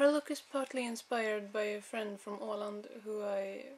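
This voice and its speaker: Speaking with a Swedish accent, a woman has a fairly high pitch and fairly even intonation. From Sweden. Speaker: cosplayer. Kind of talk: audition video monologue. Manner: halting.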